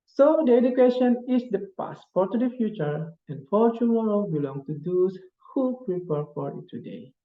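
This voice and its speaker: With an Indonesian accent, a man speaks at a moderate pace. His high pitch makes very wide swings. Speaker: graduate student. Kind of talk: presentation. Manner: halting.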